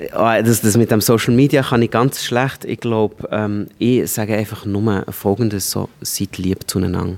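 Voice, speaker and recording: A man with a Swiss accent speaks at a fairly slow pace in a fairly low pitch, with hardly any pauses. His intonation is fairly even, and there is noticeable background noise. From rural Switzerland. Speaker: stand-up comedian. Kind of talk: interview.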